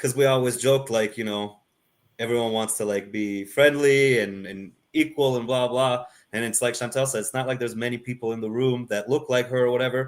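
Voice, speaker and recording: This man talks at a fairly quick pace with a medium pitch. His intonation stays fairly even. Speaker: brewer and brewery co-owner. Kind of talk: panel interview. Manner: talkative.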